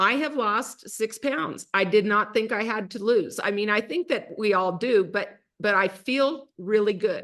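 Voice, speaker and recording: A woman speaks at a fairly slow pace with hardly any pauses, in an unremarkable speaking voice. Her pitch is fairly high and shows ordinary pitch variation. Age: 60s. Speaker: network marketing host. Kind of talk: casual chat.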